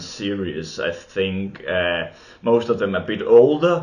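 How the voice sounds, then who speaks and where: Amid audible room echo, a man with a Danish accent speaks with lively intonation. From Denmark. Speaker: film and TV video maker. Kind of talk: unscripted monologue. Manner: halting, many fillers.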